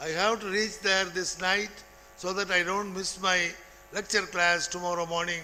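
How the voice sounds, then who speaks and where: Raising and projecting his voice, a man speaks at a moderate pace with a high pitch and a bright, sharp tone. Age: 80s+. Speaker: retired college principal. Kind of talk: ceremonial speech.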